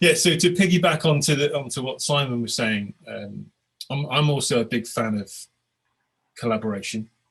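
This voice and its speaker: With a British accent, a man speaks at a medium pitch and moderate pace, his intonation lively. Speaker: agile coach and author. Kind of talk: webinar presentation. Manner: repetitive, stammering starts.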